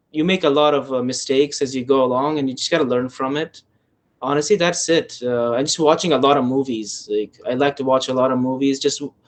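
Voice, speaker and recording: A man speaks with an Afghan accent at a fairly quick pace. His pitch is fairly high, and his intonation stays fairly even. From Afghanistan. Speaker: filmmaker. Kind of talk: casual chat. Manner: halting.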